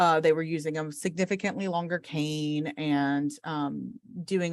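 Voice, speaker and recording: Fairly slowly and with fairly even intonation, a woman speaks with an ordinary speaking voice and a fairly low pitch. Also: very clean recording, silent background. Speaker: orientation and mobility instructor. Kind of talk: lecture.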